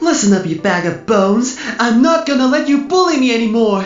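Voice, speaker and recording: A female-sounding put-on character voice comes through at a fairly high pitch and a fairly quick pace. There is a slight echo, and music plays clearly in the background. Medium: dub. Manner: smug, threatening.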